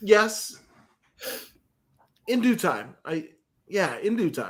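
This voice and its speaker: Mumbling at a very slow pace, a man speaks at high pitch with ordinary pitch variation. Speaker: podcast co-host. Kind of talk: casual chat.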